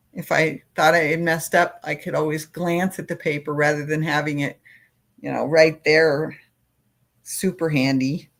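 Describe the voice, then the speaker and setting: A woman speaks at a moderate pace in a very deep, low pitch, her intonation monotone and flat. The recording is very clean, with a silent background. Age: old. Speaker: crochet YouTuber. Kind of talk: casual chat. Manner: halting.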